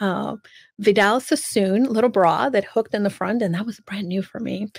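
A woman with ordinary pitch variation, over a quiet background. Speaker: speaker. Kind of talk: personal storytelling talk. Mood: animated, humorous. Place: home room. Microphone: studio mic.

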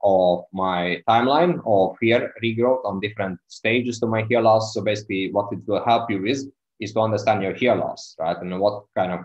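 With a quiet background, a man in a plain, everyday voice talks at a moderate pace with a fairly low pitch and ordinary pitch variation. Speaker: hair loss coach. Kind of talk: live stream talk. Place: home room. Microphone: earbuds.

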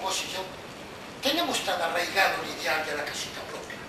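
A man at a moderate pace amid loud background noise and audible room echo. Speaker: actor playing an interrogator. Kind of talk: theatrical monologue. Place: stage. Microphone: camera far.

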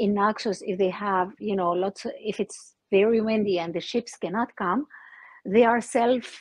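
In a dry recording with no echo and a quiet background, a woman speaks at a fairly slow pace with ordinary pitch variation. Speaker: remote guest. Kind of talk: interview answer. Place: open country. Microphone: video call.

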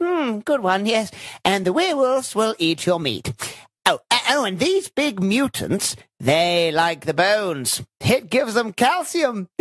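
Putting on a character voice, a man speaks at a moderate pace with a high pitch.

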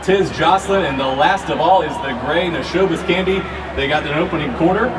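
Noticeable background noise can be heard. The pace of the speech is moderate. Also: man. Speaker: horse race caller. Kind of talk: live horse race call. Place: booth.

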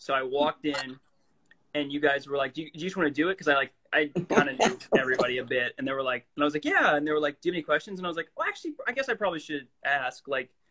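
Talking at a very fast pace, a man has a bright, sharp tone. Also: ordinary pitch variation. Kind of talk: casual live-stream chat. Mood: playful, laughing anecdote. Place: home room. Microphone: phone near.

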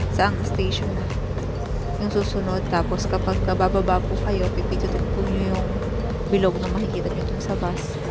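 Music plays in the background as a woman speaks at a moderate pace, the sound dry with no echo. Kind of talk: casual vlog chat. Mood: excited, happy. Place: bus. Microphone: phone near.

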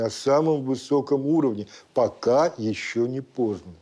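This man's voice has a dark, mellow tone and ordinary pitch variation. He speaks fairly slowly over a quiet background. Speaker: rabbit farmer. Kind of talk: studio discussion. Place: studio.

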